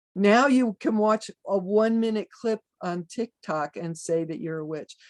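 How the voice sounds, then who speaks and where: An ordinary speaking voice moves at a fairly slow pace with lively intonation. The sound is dry and close, with no echo. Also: woman, medium pitch for a woman. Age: 60s. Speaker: druid teacher and pagan author. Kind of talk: interview.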